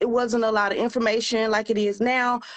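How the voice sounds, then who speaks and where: A woman with a high-pitched voice speaks at a moderate pace. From US South, Memphis, Tennessee. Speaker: business coach. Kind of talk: live-stream interview. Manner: casual, conversational.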